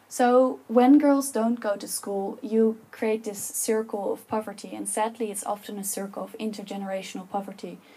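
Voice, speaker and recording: A woman with a Dutch accent speaks at a moderate pace with hardly any pauses, in a somewhat breathy, dark, mellow tone. Her pitch is fairly high with fairly even intonation, but her loudness swings widely. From Netherlands. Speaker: public speaker. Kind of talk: talk to an audience. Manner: passionate.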